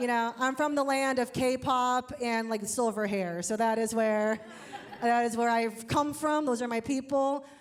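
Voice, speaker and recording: Over noticeable background noise, a woman with a high pitch speaks at a fairly slow pace, her intonation fairly even and her loudness very even. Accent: American. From Ohio, US Midwest. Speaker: comedian. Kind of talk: stand-up. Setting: stage with audience. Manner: casual, filler-heavy.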